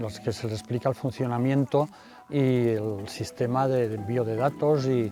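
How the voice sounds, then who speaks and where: A man's medium-pitched speech comes with music in the background. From Spain, Castellón province (Valencian region). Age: 60s. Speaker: volunteer weather observer. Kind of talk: recorded testimony interview. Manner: halting, with many fillers.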